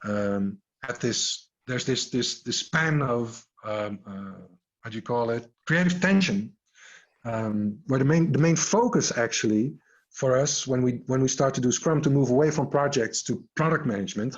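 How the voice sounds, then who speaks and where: Moderate pace and lively intonation in a plain, everyday voice. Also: man, medium pitch for a man. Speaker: agile coach and scrum trainer. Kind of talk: online workshop.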